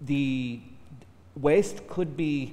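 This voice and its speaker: The man's fairly high voice shows ordinary pitch variation. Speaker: academic panelist. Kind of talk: panel discussion. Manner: loud.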